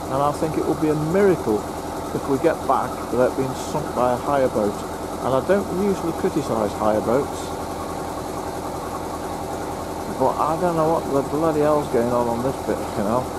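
The speech moves at a moderate pace with long, frequent pauses. Loud background noise sits under a dry sound with no echo. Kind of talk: casual vlog chat. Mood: mildly annoyed then relaxed. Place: boat.

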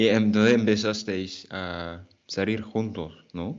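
Against a quiet background, a man with a French accent talks at a very slow pace, his fairly low voice keeping a fairly even intonation. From French-speaking country. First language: French (speaking Spanish). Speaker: Spanish teacher, YouTuber. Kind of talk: casual interview chat. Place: home room. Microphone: earbuds.

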